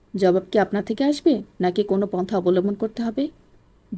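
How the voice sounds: Reading in a natural voice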